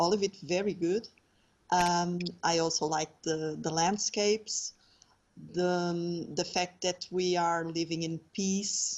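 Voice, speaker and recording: A woman with a Portuguese accent, a fairly low pitch, monotone, flat intonation and a very slow pace. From Portugal. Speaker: landscape architect, patient advocate. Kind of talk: interview. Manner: halting.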